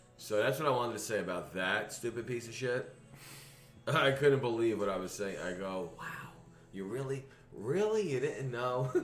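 A man's moderately paced talking rings with audible room echo. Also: medium pitch for a man, ordinary pitch variation. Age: 40s. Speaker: podcast host. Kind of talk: casual chat.

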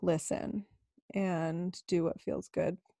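On a very clean recording with a silent background, a woman speaks very slowly in a fairly low pitch with a dark, mellow tone, the sound dry and close with no echo. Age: 30s. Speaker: myofascial release therapist. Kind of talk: casual interview.

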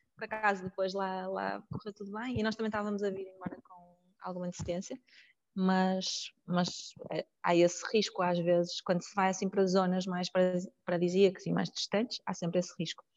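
Her voice at medium pitch, a woman speaks at a moderate pace with monotone, flat intonation and big swings in loudness, in a dry, close sound with no echo. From Porto, northern Portugal. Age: 30s. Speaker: psychologist and volunteer. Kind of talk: casual interview. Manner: hesitant, with filler sounds.

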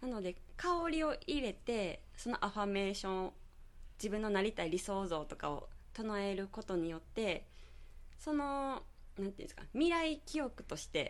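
This woman's voice sits fairly high. Her pitch swings very widely. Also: moderate pace. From Nara Prefecture, Japan (rural Yoshino). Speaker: beauty salon owner and aroma therapist. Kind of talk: radio interview. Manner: chatty, frequent laughter.

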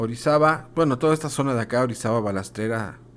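Pitch variation is ordinary as a man talks in an ordinary speaking voice at a medium pitch. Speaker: kindergarten teacher hosting school radio. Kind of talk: casual educational radio chat.

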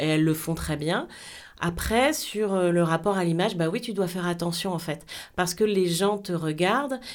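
The pace is moderate, with ordinary pitch variation. Overall it is an unremarkable speaking voice. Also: woman, fairly low pitch for a woman. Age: 40s. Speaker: TV presenter and programme coordinator. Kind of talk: interview.

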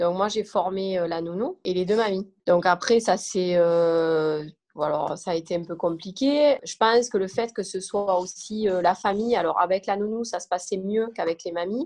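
In a plain, everyday voice, a woman speaks at a fairly slow pace with medium pitch and ordinary pitch variation. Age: 30s. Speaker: mother of a diabetic child. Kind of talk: testimony.

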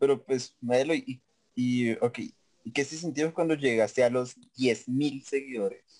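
A man at medium pitch, fairly slow, with fairly even intonation. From Colombia, Facatativá (Cundinamarca). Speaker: podcast host. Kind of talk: casual chat.

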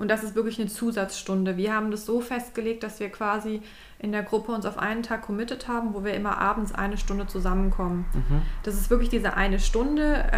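A woman at a very fast pace, fairly high in pitch, with fairly even intonation. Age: 20s. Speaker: innovation consultant and podcast co-host. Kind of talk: casual chat.

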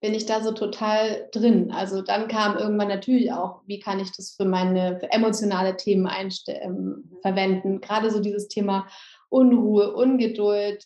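At a moderate pace, a woman speaks in a medium pitch with flat, monotone intonation. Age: 30s. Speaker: yoga teacher and essential oils seller. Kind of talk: interview.

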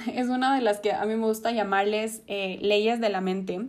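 With fairly even intonation, a woman speaks in a fairly high pitch at a fairly slow pace. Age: 20s. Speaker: podcast host, psychology student. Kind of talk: personal testimony monologue. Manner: hesitant fillers.

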